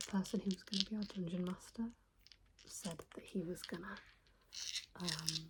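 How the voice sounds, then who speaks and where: Soft-spoken and somewhat breathy, a woman talks with fairly even intonation. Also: medium pitch for a woman, fairly slow pace. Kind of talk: ASMR soft-spoken trigger video.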